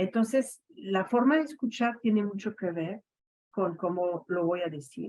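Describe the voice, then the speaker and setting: The woman's pitch sits in the medium range. She speaks at a fairly slow pace. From Quebec, Montreal. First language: French (speaking Spanish). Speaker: education academic. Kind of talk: radio interview. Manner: hesitant, many fillers.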